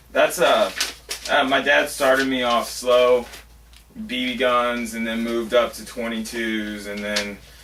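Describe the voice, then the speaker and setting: Over noticeable background noise, a man with a medium pitch and an American accent speaks at a moderate pace. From US South, Florida panhandle. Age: 20s. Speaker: competitive rifle shooter. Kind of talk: audition interview. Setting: reloading shed.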